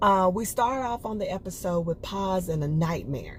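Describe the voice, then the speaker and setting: Somewhat breathy and relaxed in tone, a woman speaks at a medium pitch and a fairly slow pace. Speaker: TV show reviewer. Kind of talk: casual review monologue. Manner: conversational, relaxed.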